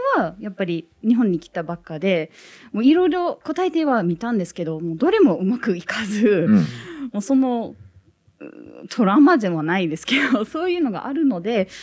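The voice makes very wide pitch swings over a quiet background. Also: woman, fairly high pitch for a woman, moderate pace, big swings in loudness. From United States. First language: English (speaking Japanese). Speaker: international student. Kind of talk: audience anecdote. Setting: public recording with small audience. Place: studio.

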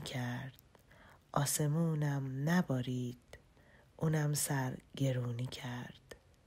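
A woman's voice at a very slow pace. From Iran. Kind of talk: poetry reading. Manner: whispered.

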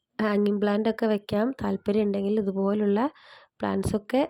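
Soft-spoken and in monotone, flat intonation, a woman with a dark, mellow tone is heard in a dry, close sound with no echo and a very clean recording over a silent background. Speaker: home plant nursery seller. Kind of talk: sales pitch.

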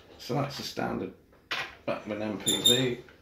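Someone speaks at a fairly slow pace with audible room echo and light background noise. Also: man. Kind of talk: tutorial. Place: home room.

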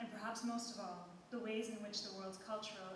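Against noticeable background noise and strong room echo, a woman speaks at a fairly quick pace. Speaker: conference presenter. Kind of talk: academic talk read from script. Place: hall. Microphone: podium.

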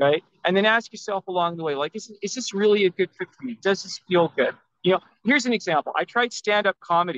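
With a Canadian accent and a high pitch, a man talks at a very fast pace with ordinary pitch variation, his voice dry with no echo against a quiet background. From Vancouver, Canada; British Columbia, Canada. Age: 50s. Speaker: self-published author; guest. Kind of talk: interview. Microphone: video call.

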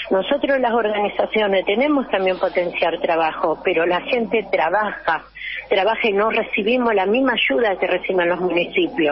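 Over noticeable background noise, a woman speaks at a moderate pace and medium pitch, her intonation lively and her loudness very even. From Argentina, Buenos Aires province. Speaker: local political candidate. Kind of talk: radio interview. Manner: animated.

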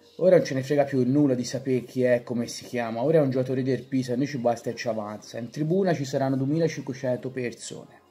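Faint music plays behind a man speaking at a very fast pace, his pitch fairly high and varying in an ordinary way. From Pisa, Italy. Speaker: author reading his own book. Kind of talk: reading from his own book on football fandom. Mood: wry, humorous. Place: home room. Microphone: phone near.

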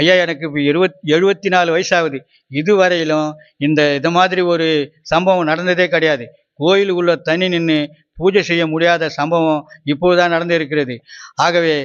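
The voice belongs to a man and sits high in pitch. His intonation stays fairly even. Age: 70s. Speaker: villager, petitioner. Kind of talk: public appeal to officials. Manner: halting; formal.

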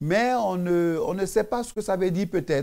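The background is quiet. A man speaks at a very slow pace. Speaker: preacher. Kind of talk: devotional sermon, preaching and prayer. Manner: earnest, fervent, exhortative, addressing the viewer as 'tu'. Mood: fervent, exhorting. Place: studio. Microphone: lapel.

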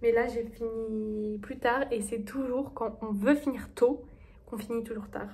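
The voice has a dark, mellow tone and moves at a very slow pace with monotone, flat intonation. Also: woman, fairly high pitch for a woman. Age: 20s. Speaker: medical student vlogger. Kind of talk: casual vlog. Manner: hesitant, many fillers. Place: home room. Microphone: phone near.

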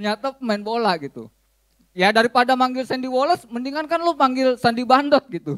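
Against a quiet background, a man with a Jakarta accent talks at a fairly quick pace, his pitch extremely high with ordinary variation. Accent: Jakarta Betawi-flavored Indonesian. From Jakarta, Indonesia. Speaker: stand-up comedian. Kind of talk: stand-up comedy. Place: cafe. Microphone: handheld.

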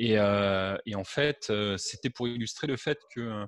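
Medium-pitched male speech with fairly even intonation, dry with no echo, over a quiet background. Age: 40s. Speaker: web marketing entrepreneur; interviewee. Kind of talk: interview. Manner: hesitant, with fillers. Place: home room. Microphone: headset.

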